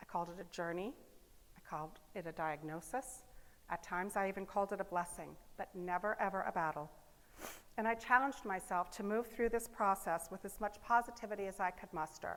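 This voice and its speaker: The speaker has an ordinary speaking voice. The pace is fairly quick, with ordinary pitch variation. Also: woman, medium pitch for a woman. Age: 60s. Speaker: public speaker, business owner. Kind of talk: inspirational talk.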